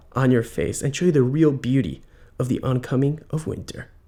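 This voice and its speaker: In a very clean recording with a silent background, a man speaks in a fairly high, somewhat breathy voice. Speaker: video creator holding the camera. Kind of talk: casual vlog intro. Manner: fast.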